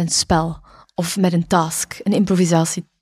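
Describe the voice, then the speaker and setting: Over a quiet background, a woman with a fairly low pitch speaks at a very slow pace in a dark, mellow, somewhat breathy tone. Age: 30s. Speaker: dancer and dance workshop teacher; dance workshop teacher. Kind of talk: casual chat. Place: studio. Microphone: studio mic.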